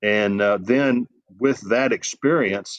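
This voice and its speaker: A man with a Southern US accent at a fairly slow pace, fairly even in intonation, with a dry, close sound and no echo. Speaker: sports journalist and college football analyst. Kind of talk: interview. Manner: halting.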